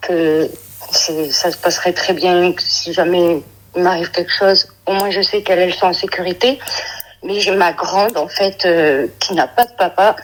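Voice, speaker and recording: Fairly slow, medium-pitched speech from a woman, ordinary in its pitch variation, over noticeable background noise. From Brittany, France. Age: 30s. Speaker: caller. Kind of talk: phone-in advice call. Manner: hesitant.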